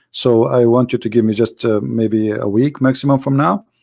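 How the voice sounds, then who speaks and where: In a very clean recording with a silent background, a man with an Arabic accent speaks at a moderate pace and medium pitch with ordinary pitch variation. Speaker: Islam critic, author and live show host. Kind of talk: casual live talk to viewers. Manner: hesitant with fillers.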